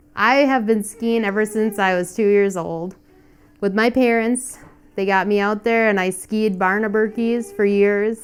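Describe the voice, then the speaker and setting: A plain, everyday voice with an American accent. It moves at a fairly slow pace with fairly even intonation. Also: woman, fairly high pitch for a woman. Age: 30s. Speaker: cross-country skier. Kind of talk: casual interview.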